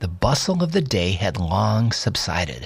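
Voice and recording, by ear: Someone is reading aloud in a natural voice.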